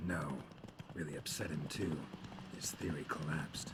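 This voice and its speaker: A put-on character voice delivers its lines in a deadpan tone. Loud background noise runs underneath. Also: man, moderate pace. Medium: video game. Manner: terse, deadpan, dry.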